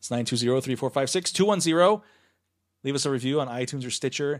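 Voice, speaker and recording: The speaker has an American accent and talks at a very fast pace. The pitch variation is ordinary. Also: man. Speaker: podcast host and film critic. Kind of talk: casual banter. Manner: joking, quick banter.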